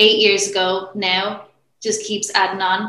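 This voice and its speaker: A woman speaks in an Irish accent with a medium pitch. Her tone is bright and sharp, her intonation monotone and flat. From Ireland. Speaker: women's strength coach. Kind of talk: interview.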